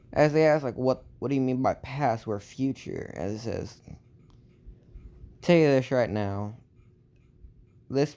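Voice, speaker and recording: A man with a Southern accent, dark and mellow in tone, fairly slow, with ordinary pitch variation. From Texas. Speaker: storyteller. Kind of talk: improvised fan story narration. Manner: halting, many fillers.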